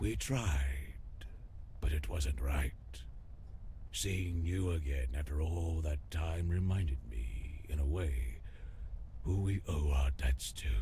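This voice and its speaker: Using a put-on character voice with a weary tone, a man speaks fairly slowly with long, frequent pauses and very even loudness, clear background noise behind him. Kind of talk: noir game drama. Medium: video game. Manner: world-weary, wry.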